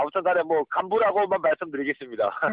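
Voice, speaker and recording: This man's voice sits at a high pitch. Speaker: special forces soldier and amateur marathon runner. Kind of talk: phone interview. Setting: phone call from office. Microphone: phone line volume drops at times.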